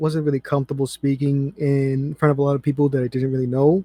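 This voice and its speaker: Dry and close with no echo, a man's dark, mellow voice sits fairly high in pitch and stays in a flat monotone. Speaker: YouTuber making anime what-if videos. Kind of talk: casual interview chat. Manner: hesitant, with fillers.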